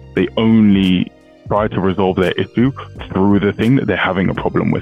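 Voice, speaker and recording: A man speaks at a fairly quick pace with a very deep, low pitch and ordinary pitch variation. The sound is dry with no echo, with faint music in the background. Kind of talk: explainer commentary on a legal case. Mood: calm, explanatory. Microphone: headset.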